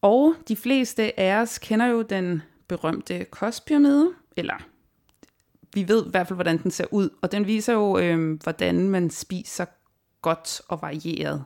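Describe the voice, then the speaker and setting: Recorded very cleanly against a silent background, a woman speaks at a very slow pace. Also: medium pitch for a woman, lively intonation. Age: 30s. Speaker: podcast host. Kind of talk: podcast interview.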